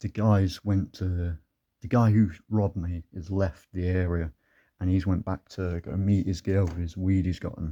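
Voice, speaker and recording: A man with a British accent speaks with a very deep, low pitch and a dark, mellow tone, his voice shaky. His intonation is fairly even, and the background is quiet. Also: dry, close sound with no echo. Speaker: vlogger. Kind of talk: personal storytelling monologue.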